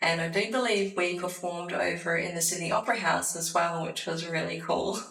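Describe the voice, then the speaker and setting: There is noticeable background noise and audible room echo as a woman with an Australian accent speaks. Her pitch is fairly low and her intonation fairly even. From Perth, Western Australia. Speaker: choir member. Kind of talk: interview testimony.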